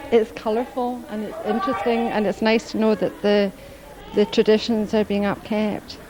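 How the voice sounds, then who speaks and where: A woman with a Scottish accent speaks at a moderate pace in a fairly high voice, keeping her intonation fairly even while crowd noise rises in the background. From Scotland. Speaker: tourist. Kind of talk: street interview.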